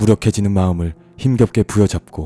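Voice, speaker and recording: Fairly low male voice, dry and close with no echo, over music in the background. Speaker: audiobook narrator. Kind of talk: audiobook reading. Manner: soft, slow, calm.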